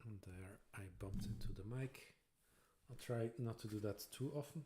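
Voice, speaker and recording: A man's voice has a dark, mellow tone and is somewhat breathy. He talks at a moderate pace. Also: medium pitch for a man, ordinary pitch variation. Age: 40s. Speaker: Lego builder streamer. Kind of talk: casual live-stream chat while building. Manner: relaxed, chill.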